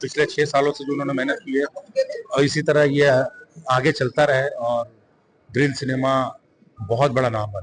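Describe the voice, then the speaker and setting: Music in the background behind a man at a fairly high pitch, with fairly even intonation and long, frequent pauses. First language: Bhojpuri (speaking Hindi). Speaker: film actor. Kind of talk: interview. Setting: award event.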